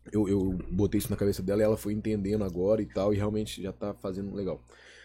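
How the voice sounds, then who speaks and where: A somewhat breathy man at a fairly low pitch, dark, mellow tone and fairly quick pace. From Belo Horizonte, Minas Gerais, Brazil. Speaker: event producer. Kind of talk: casual chat.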